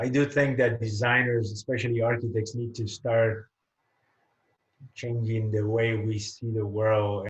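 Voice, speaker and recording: A man speaks at a medium pitch with monotone, flat intonation. His voice is somewhat breathy. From Puerto Rico. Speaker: architect. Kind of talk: interview. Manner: hesitant, with many fillers.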